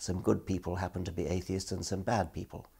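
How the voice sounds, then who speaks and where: A man's very deep, low voice with vocal fry, a dark, mellow tone and a fairly quick pace. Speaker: interviewee. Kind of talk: interview answer. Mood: calm, reasoned. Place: home room.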